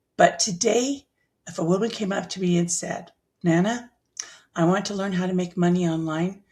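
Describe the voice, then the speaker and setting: A woman speaks in a somewhat breathy voice with ordinary pitch variation. Her pauses are long and frequent. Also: medium pitch for a woman, moderate pace. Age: 60s. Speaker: online business educator. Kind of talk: tutorial.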